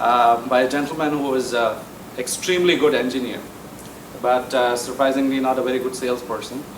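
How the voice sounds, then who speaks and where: Noticeable background noise and audible room echo surround a man talking at a medium pitch. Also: fairly even intonation, fairly quick pace. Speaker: engineering sales presenter. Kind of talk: technical presentation to members. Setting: meeting room with audience. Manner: soft-spoken; mumbling at times.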